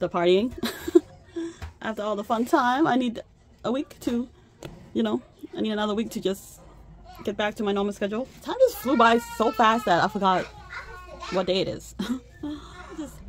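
Over crowd noise in the background, a woman talks at a fairly quick pace with ordinary pitch variation. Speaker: budgeting channel host. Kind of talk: casual vlog chat. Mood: cheerful, laughing. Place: home room. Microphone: phone near.

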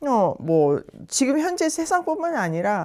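A woman's very slow speech with very wide pitch swings, on a very clean recording over a silent background. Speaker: Bible teacher. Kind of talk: Bible study lesson with scripture reading. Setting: recorded in the evening while traveling in Jeju.

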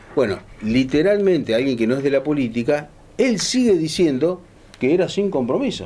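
This man's fairly high pitch moves in very wide swings, carried by a dark, mellow tone. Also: moderate pace. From Argentina. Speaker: radio show host. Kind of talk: casual panel chat. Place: cafe.

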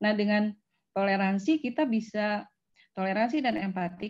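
Somewhat breathy and dark, mellow in tone, a woman speaks at a medium pitch with ordinary pitch variation against a quiet background. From West Java, Indonesia (Bandung); West Java, Indonesia. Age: 40s. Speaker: university lecturer. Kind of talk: lecture. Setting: video call. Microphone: video call.

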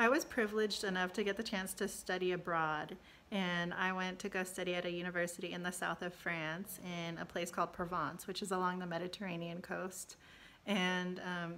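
A woman speaks at a fairly quick pace in a monotone, flat intonation. Light background noise is present. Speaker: college success staff. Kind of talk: personal testimony. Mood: warm, fond recollection. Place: home room. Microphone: phone near.

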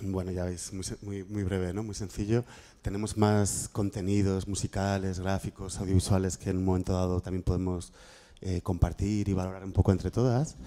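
Speaking at a moderate pace, a man with a very deep, low pitch has a dark, mellow tone and monotone, flat intonation. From Spain, Madrid. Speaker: workshop moderator, graphic activist. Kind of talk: panel discussion moderation. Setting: room with audience and microphone. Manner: halting, many repetitions. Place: classroom.

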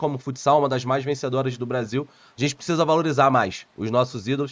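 With normal pitch movement, a man rattles along at a very fast pace. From Rio de Janeiro, Brazil. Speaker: football pundit and YouTuber; football pundit, YouTuber. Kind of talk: interview. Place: home room.

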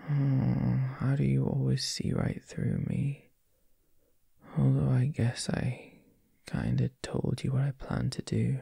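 Soft-spoken and playful in tone, the voice moves at a very slow pace in a dry sound with no echo over a quiet background. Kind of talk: intimate roleplay audio, addressing listener. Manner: drowsy, playful soft morning voice.

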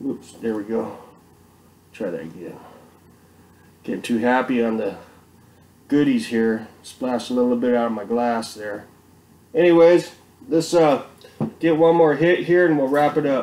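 Over light background noise, a man with a dark, mellow tone speaks with long, frequent pauses. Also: moderate pace. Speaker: home beer reviewer. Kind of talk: casual vlog chat. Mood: relaxed, cheerful. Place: home room. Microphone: webcam.

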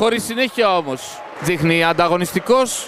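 Lively intonation and a moderate pace come through over noticeable background noise. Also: man. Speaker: volleyball commentator. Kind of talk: live sports commentary. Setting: match broadcast over game footage. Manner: clipped, breathless, matter-of-fact.

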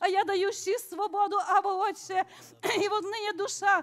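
The speaker is a woman. Her pitch is extremely high. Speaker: congregant. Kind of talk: prophecy in tongues. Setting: church. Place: church.

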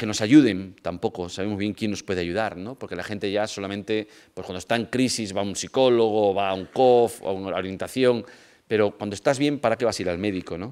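A man speaks at a fairly quick pace with ordinary pitch variation. His pitch is fairly low. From Spain, Vigo (Galicia); Galicia, Spain. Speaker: lecturer on family pastoral work. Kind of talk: lecture. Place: hall. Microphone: podium.

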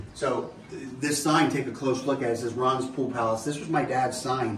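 This man talks at a moderate pace. Light background noise and audible room echo are present. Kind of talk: casual store tour. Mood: relaxed, proud, joking. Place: shop. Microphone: camera far.

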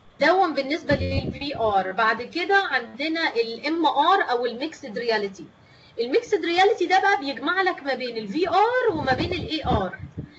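A high-pitched woman talks at a moderate pace with hardly any pauses. Her pitch swings very widely, and there is noticeable background noise. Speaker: teacher trainer. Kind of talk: online lecture.

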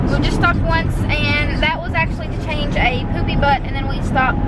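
A woman at a fairly quick pace, loud background noise, and a dry sound with no echo. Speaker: family vlogger. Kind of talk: casual vlog chat. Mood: cheerful, amused. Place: car. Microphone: phone near.

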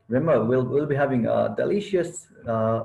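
A man with a dark, mellow tone, somewhat breathy, with lively intonation at a moderate pace. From Nepal, around Lumbini; Nepal. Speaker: student chapter leader; presenter. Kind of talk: presentation. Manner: halting. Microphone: video call.

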